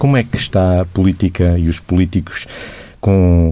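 In a dark, mellow tone, a man speaks at a very deep, low pitch. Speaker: radio host. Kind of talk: radio interview.

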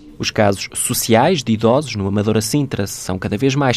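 A plain, everyday voice from a man, moderate in pace with lively intonation. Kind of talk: scripted narration.

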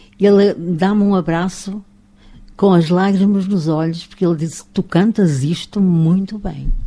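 Her voice has a dark, mellow tone as the woman speaks at a fairly slow pace. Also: medium pitch for a woman. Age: 80s+. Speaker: retired radio and TV presenter. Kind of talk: casual interview. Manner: animated, laughing.

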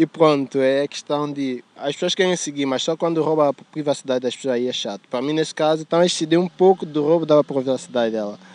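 This man talks at a very fast pace with hardly any pauses, his fairly high voice showing ordinary pitch variation. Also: dry, close sound with no echo. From São Tomé and Príncipe. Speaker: student. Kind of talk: street interview. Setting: outdoors in a city park.

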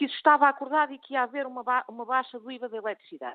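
Speaking at a very fast pace, a woman uses a high pitch. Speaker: politician. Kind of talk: radio interview.

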